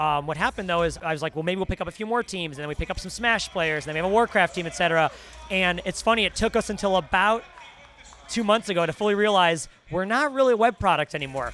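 Over light background noise, a man talks at a very fast pace with a high pitch and ordinary pitch variation. The sound is dry, with no echo. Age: 30s. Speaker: esports team owner. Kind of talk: interview. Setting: gaming convention. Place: hall. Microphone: handheld.

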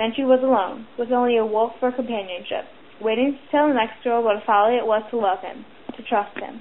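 Fairly quick speech from a woman with a fairly high pitch and fairly even intonation, over noticeable background noise. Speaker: amateur book reader. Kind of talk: reading aloud. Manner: occasional stutters.

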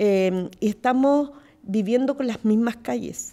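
This woman has a dark, mellow tone. She speaks at a fairly slow pace with ordinary pitch variation. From Chile, Santiago. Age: 50s. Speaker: mayor. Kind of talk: panel discussion. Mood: engaged, explanatory. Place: studio. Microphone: studio mic.

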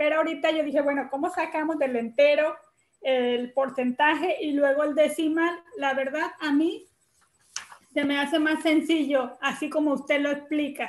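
A woman with a high pitch speaks at a moderate pace and with fairly even intonation. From Tlaxcala, Mexico. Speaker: special education teacher. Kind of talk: casual spoken comment in online class. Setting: video call. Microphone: video call.

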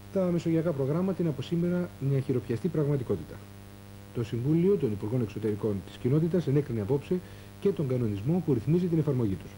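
Amid light background noise, a man speaks very fast with lively intonation, a dark, mellow tone and a somewhat breathy sound. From Greece. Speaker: news presenter. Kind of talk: 1984 TV news bulletin, formal scripted newsreading. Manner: formal, measured, steady and authoritative. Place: studio. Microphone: lapel.

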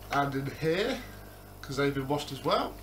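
A man's voice over music in the background. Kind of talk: tutorial. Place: home room. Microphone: camera far.

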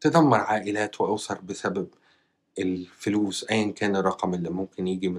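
A man talks with an Egyptian accent. His pitch is fairly low and his pace fairly slow. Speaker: YouTuber news commentator. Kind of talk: news commentary monologue. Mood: disapproving, serious. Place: home room. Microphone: lapel.

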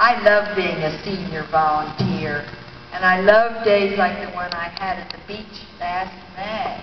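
A woman with fairly even intonation amid noticeable background noise. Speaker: reader in a staged play reading. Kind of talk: play reading. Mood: warm, reflective. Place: hall. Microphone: handheld.

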